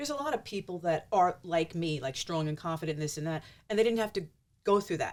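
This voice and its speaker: In a New York accent, a woman speaks at a fairly low pitch with very wide pitch swings, on a very clean recording with a silent background. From US Northeast, Mount Vernon, New York. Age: 60s. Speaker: social media personality. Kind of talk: casual chat.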